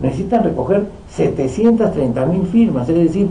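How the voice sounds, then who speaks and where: A man with a high pitch speaks with lively intonation. Audible room echo and noticeable background noise surround him. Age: 60s. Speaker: politician. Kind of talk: political talk. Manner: halting.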